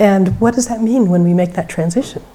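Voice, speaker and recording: A woman speaks with ordinary pitch variation. Hers is a plain, everyday voice. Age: 60s. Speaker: keynote speaker, magazine founder. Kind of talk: keynote speech.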